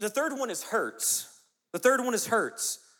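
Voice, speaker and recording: A man is speaking. He has a Southern US accent. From US South, South Carolina. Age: 30s. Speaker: youth pastor. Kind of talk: sermon.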